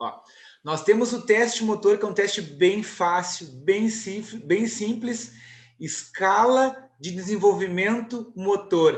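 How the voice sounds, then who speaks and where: A man speaks very slowly in a high voice, with ordinary pitch variation and big swings in loudness. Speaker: university lecturer in physical education. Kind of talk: online lecture with Q&A.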